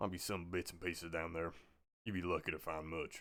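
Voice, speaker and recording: Raspy and very deep in pitch, a man uses a put-on character voice at a fairly quick pace with monotone, flat intonation. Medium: read story. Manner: blunt, laconic.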